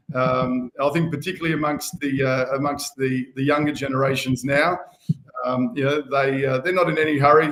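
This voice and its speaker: The speaker has an Australian accent. Their intonation stays fairly even. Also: man. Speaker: band member and community organiser. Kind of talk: casual chat. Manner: hesitant with many fillers.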